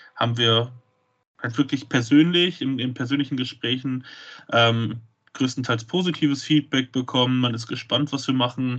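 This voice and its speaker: At a moderate pace, a man with a plain, everyday voice speaks at a medium pitch with fairly even intonation. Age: 20s. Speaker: wrestling promoter. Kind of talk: podcast interview.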